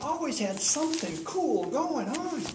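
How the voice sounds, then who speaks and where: Amid noticeable background noise, a man with an Upper Midwest accent talks with very wide pitch swings. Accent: Upper Midwest American. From Minnesota. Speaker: Toastmasters club speaker. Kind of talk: humorous personal storytelling speech.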